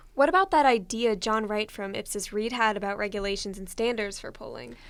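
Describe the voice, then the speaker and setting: A woman with a fairly high pitch and an unremarkable speaking voice talks at a fairly quick pace, her loudness swinging widely while her pitch varies in an ordinary way. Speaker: student radio co-host. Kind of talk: radio show hosting.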